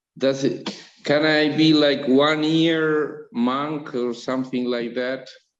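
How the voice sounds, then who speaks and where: A man speaks at a very slow pace and a fairly high pitch. His intonation is fairly even, with audible room echo. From Uruguay. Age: 60s. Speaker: meditation student. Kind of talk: question to teacher. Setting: video call.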